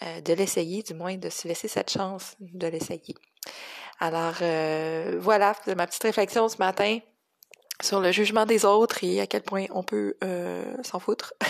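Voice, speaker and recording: A woman with a Quebec accent, medium in pitch, very slow pace, ordinary pitch variation. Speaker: cello teacher. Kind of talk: solo podcast reflection. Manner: hesitant, many fillers.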